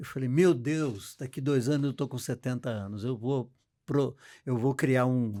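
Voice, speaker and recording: Recorded very cleanly over a silent background, a man with a medium-pitched voice and a dark, mellow tone speaks at a fairly slow pace with ordinary pitch variation. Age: 70s. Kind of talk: interview. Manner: halting.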